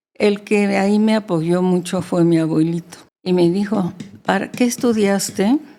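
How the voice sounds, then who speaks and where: A fairly slow pace, ordinary pitch variation, a dark, mellow tone and very even loudness. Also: woman, medium pitch for a woman. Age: 80s+. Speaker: interview guest. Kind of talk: interview answer.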